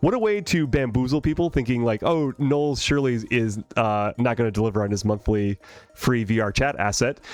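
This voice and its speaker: A man is talking. His intonation is lively. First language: not English. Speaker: streamer and 3D artist. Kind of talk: live stream chat while working. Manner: casual, hesitant with many fillers.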